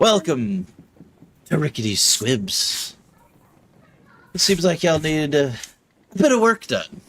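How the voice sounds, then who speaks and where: A man does a put-on character voice at a fairly high pitch. He talks at a fairly slow pace with very wide pitch swings. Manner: welcoming, businesslike.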